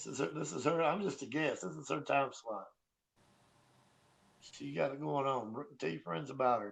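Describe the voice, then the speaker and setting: With vocal fry and very wide pitch swings, a man speaks at medium pitch and a moderate pace. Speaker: painter. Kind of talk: casual chat. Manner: soft-spoken.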